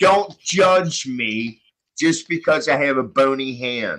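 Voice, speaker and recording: A man's bright, sharp voice with lively intonation. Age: 60s. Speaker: panel participant, practicing pagan. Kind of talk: casual group chat on live stream.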